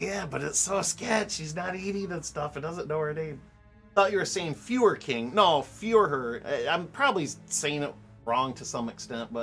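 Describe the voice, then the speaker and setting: A moderate pace over music in the background. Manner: casual, chatty, unsure about pronunciation.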